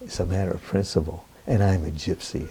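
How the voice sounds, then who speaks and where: A man's very deep, low pitch with a dark, mellow tone and a somewhat breathy quality. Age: 70s. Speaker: Roma professor. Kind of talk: interview. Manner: animated.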